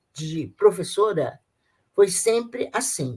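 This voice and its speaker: Very slow speech from a woman, medium in pitch. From Brazil, Rio de Janeiro. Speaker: retired teacher, Freemason. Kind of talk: interview testimony. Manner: halting, with repetitions.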